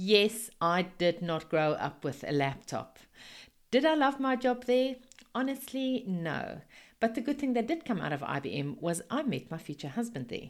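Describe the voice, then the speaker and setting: With a South African accent, a woman speaks in a warm, enthusiastic tone at a fairly high pitch. Her pace is moderate and her pitch swings very widely. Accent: Afrikaans-accented English. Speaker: network marketing business coach. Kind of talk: podcast monologue, business talk.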